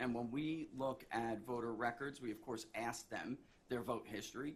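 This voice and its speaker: The recording carries audible room echo. A man speaks at a medium pitch with ordinary variation. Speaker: pollster, expert witness. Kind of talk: court testimony. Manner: fast.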